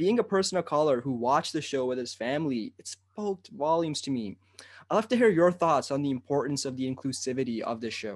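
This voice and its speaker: A man speaks at a fairly quick pace with a fairly high pitch and lively intonation. His tone is enthusiastic, and the background is quiet. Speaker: podcast host. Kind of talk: interview.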